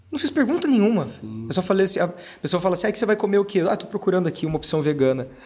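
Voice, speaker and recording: Music runs in the background while a man talks at a very fast pace. His high-pitched voice makes very wide pitch swings. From Brazil, interior of Paraná. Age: 30s. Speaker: actor and singer. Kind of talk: casual chat.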